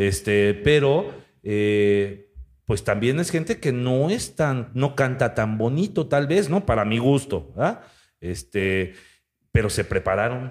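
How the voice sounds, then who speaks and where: Speaking very slowly with a Mexican accent, a man keeps his loudness very even while his medium-pitched voice makes very wide pitch swings, captured in a very clean recording with a silent background. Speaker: podcast host. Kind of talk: casual chat.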